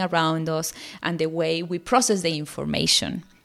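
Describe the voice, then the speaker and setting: A woman's fairly low voice with a Spanish accent, moderate pace and fairly even intonation. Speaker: parenting podcaster. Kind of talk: solo podcast talk.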